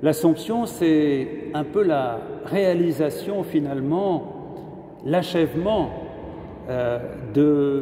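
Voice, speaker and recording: Audible room echo and noticeable background noise surround the recording. A man speaks with ordinary pitch variation. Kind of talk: sermon. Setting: cathedral. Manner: halting.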